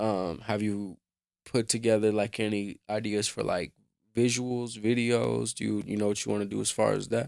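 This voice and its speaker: Fairly even intonation in a normal speaking voice, delivered at a moderate pace. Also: man, fairly low pitch for a man. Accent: American. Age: 20s. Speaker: hip-hop interviewer and producer. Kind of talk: interview.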